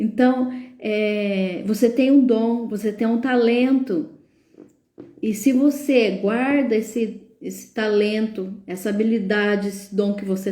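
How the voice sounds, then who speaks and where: A woman speaks at a very slow pace with a fairly high pitch and ordinary pitch variation. Her tone is dark and mellow and somewhat breathy, with audible room echo. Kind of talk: live stream talk, sermon-like. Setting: live stream. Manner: filler-heavy, hesitant.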